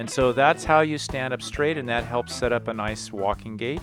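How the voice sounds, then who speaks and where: Music plays behind a man speaking at a moderate pace. His voice sits at medium pitch with ordinary variation. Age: 60s. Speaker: PE teacher. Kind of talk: tutorial.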